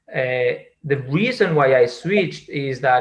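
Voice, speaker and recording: A man talks very slowly in a Spanish accent at a medium pitch. His voice is somewhat breathy. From Spain. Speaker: data science executive. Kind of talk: interview. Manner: halting, many fillers and repetitions.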